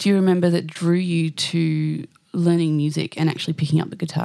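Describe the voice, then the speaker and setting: In an Australian accent, the speaker's tone comes across dark and mellow. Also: woman. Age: 30s. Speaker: singer-songwriter and podcast host. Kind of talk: casual interview.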